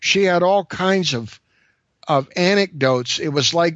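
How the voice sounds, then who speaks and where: A high-pitched man with an American accent, lively intonation and a fairly slow pace. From California. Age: 60s. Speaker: UFO researcher guest. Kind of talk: casual interview. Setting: phone call.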